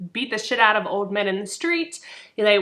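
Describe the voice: Lively intonation marks this plain reading aloud.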